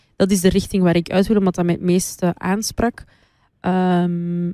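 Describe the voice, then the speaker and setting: On a very clean recording with a silent background, a woman speaks at a very slow pace in a medium pitch, with a dark, mellow tone and monotone, flat intonation. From Flanders, Moroccan roots. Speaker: radio DJ. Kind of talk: casual interview chat.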